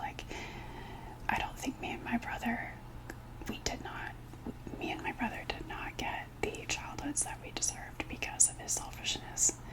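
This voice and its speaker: Whispered speech from a woman, with noticeable background noise. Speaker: ASMR creator and video diarist. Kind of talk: casual talk to camera, personal video diary. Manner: emotional, candid, venting.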